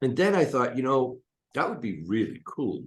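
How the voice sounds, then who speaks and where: With a plain, everyday voice, a man speaks at a moderate pace with lively intonation. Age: 60s. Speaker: hypnotist and coach. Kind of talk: interview.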